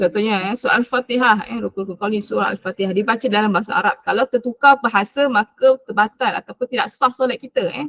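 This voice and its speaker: A woman speaks at a very fast pace in a fairly high pitch with ordinary pitch variation. The sound is dry and close, with no echo. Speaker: Quran recitation teacher. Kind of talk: online class lecture. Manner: loud, projecting. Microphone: voice too quiet, switched to mic.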